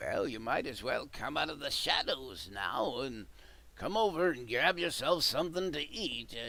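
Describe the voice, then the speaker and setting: Using a put-on character voice, a man speaks at a fairly high pitch. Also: moderate pace. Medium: actual play. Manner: dry, knowing, unhurried.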